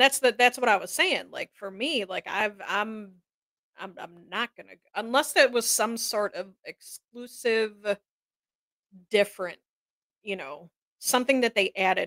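Speaking at a fairly slow pace with long, frequent pauses, a woman with a fairly high pitch shows ordinary pitch variation and big swings in loudness. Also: dry, close sound with no echo. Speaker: co-host. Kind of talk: casual live talk show banter.

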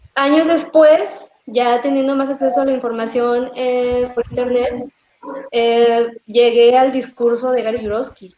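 This woman speaks at a fairly slow pace with a high pitch. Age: 30s. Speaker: vegan interviewee. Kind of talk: casual interview chat.

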